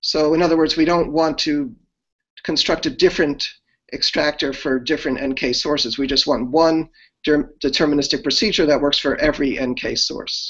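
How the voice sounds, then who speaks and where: The speech moves at a moderate pace with ordinary pitch variation. The background is quiet. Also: man. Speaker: speaker. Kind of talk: lecture. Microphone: video call.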